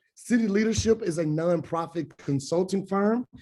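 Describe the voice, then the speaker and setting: Here a man with a Memphis accent speaks at a high pitch with a dark, mellow tone. He keeps a moderate pace and ordinary pitch variation. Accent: Southern US (Memphis). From US South, Memphis, Tennessee. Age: 20s. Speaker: nonprofit alumni coordinator. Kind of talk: webinar presentation. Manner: enthusiastic.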